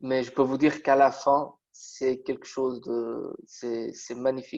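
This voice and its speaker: Very slowly and in a flat monotone, a man speaks at a medium pitch with a Portuguese accent. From Portugal. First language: Portuguese (speaking French). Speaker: metal construction draftsman. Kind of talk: interview. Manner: halting, many hesitations.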